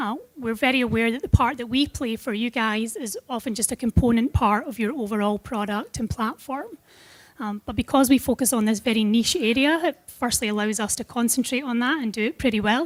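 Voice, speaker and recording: A woman's fairly high voice with a Scottish accent. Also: ordinary pitch variation, fairly quick pace. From Scotland. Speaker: product manager at a tech company. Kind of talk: conference presentation.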